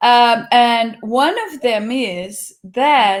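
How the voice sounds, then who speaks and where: A woman speaks in a high pitch. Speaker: language school teacher and interviewer. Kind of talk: interview. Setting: live video stream.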